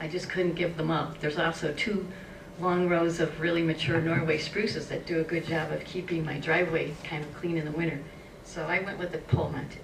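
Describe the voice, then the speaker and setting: Fairly low in pitch, a woman talks at a fairly quick pace in a monotone, flat intonation. Audible room echo and noticeable background noise are present. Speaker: homeowner with solar panels, forum panelist. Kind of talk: presentation. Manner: fast.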